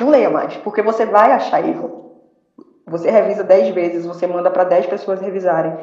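A woman's medium-pitched voice at a moderate pace, with ordinary pitch variation and audible room echo. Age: 30s. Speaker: novelist. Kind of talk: interview.

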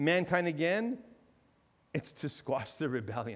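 The man's pitch is fairly high. He uses an ordinary speaking voice. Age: 40s. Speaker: pastor. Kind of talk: sermon. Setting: church. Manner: conversational, with repetitions and fillers.

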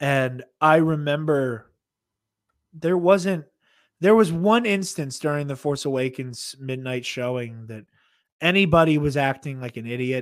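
A plain, everyday voice, belonging to a man with a fairly high pitch and ordinary pitch variation. His loudness swings a lot, and the recording is very clean with a silent background. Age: 20s. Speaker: podcaster. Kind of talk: casual chat. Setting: live stream.

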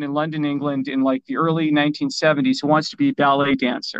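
A man with a normal speaking voice uses lively intonation and a fairly quick pace. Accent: Canadian. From Canada. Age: 50s. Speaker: author. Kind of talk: interview.

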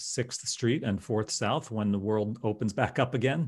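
A man with an American accent and a fairly low pitch, on a very clean recording with a silent background. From New Jersey. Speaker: insurance company founder. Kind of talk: podcast interview.

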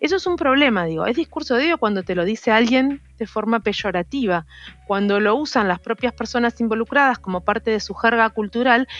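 In an ordinary speaking voice, a woman talks at a fairly quick pace with lively intonation and a fairly high pitch, recorded in a dry, close sound with no echo. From Argentina, Rosario. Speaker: activist and biologist. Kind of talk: interview.

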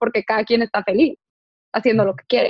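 An unremarkable speaking voice, its intonation fairly even. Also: woman. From Tijuana, northern Mexico. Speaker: podcast host. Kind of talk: casual interview chat.

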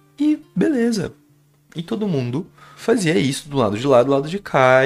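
A man talks at a fairly slow pace. Music can be heard behind him. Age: 20s. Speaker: podcast storyteller. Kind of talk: personal storytelling monologue. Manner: casual, hesitant with repetitions.

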